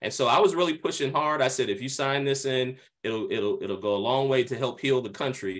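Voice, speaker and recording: Against a quiet background, a man with an American accent and an ordinary speaking voice talks at a fairly quick pace, his medium pitch showing ordinary variation. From Pennsylvania, US. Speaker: pastor. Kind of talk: video call interview. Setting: video call.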